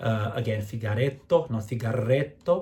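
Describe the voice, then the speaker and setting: A man's dark, mellow, somewhat breathy voice with ordinary pitch variation. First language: Portuguese. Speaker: opera director and vocal coach. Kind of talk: tutorial. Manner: hesitant with fillers.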